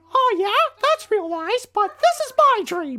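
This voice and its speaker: This put-on character voice sits at an extremely high pitch and swings very widely up and down. It moves along at a fairly slow pace. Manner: cheeky.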